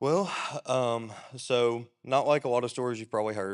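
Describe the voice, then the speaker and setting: A man with a Southern US accent speaks at a moderate pace against a quiet background. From US South, Alabama. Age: young. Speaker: church drummer. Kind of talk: testimony.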